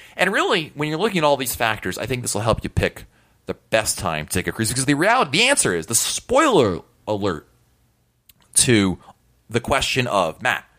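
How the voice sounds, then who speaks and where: A man talks at a fairly quick pace in a bright, sharp tone with vocal fry, his pitch swinging very widely. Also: medium pitch for a man. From US Northeast (New England). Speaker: podcast host. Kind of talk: solo podcast monologue. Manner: conversational.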